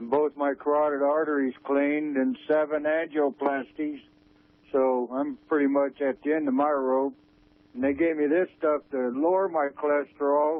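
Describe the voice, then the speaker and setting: A plain, everyday voice speaks at a moderate pace. The intonation is fairly even. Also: man, fairly high pitch for a man. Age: 60s. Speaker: radio caller. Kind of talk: call-in radio discussion.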